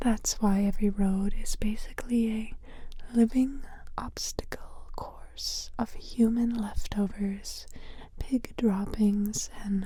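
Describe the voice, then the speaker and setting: Over noticeable background noise, the voice has a gentle tone and moves at a very slow pace. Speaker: ASMR storyteller. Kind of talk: sleep story, history narration. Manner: soft-spoken, gentle, humorous.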